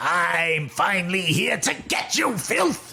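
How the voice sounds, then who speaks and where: A man speaks in a put-on character voice, pitched high. His pace is fairly slow. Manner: menacing.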